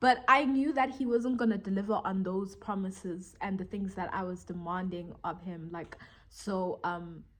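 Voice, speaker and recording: A woman's plain, everyday voice at medium pitch, with ordinary pitch variation, a moderate pace and hardly any pauses. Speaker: vlogger. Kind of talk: casual monologue vlog. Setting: talking to camera.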